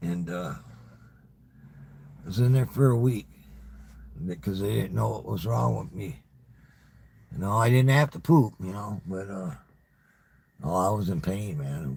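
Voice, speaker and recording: With a very deep, low pitch and very wide pitch swings, a man speaks at a moderate pace broken by long, frequent pauses. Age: 60s. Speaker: YouTuber livestreamer. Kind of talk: casual monologue livestream. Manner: halting, repetitive stammering; casual, profane.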